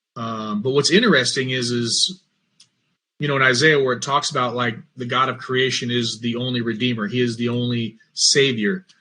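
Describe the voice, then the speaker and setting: A man of medium pitch with an American accent, a bright, sharp tone, fairly even intonation and a moderate pace. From US Midwest, Mansfield, Ohio. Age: 40s. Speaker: religious podcast host and former Marine. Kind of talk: personal testimony monologue. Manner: halting, many fillers and repeats.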